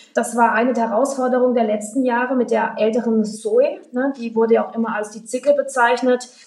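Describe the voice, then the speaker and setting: Noticeable background noise accompanies a woman talking at a fairly quick pace. Her fairly high voice keeps a monotone, flat intonation. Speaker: electric rally founder. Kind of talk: casual interview.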